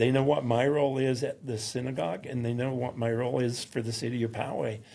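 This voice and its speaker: A man with an American accent talks at a very fast pace in a medium pitch, his dark, mellow tone carried by fairly even intonation. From US South, mountains of North Carolina. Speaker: synagogue security volunteer. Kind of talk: interview. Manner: halting.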